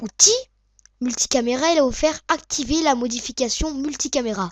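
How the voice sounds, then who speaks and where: Recorded very cleanly against a silent background, a woman speaks at a fairly slow pace in a high pitch with lively intonation. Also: dry, close sound with no echo. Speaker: video editing tutorial maker. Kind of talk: tutorial. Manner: hesitant, many fillers.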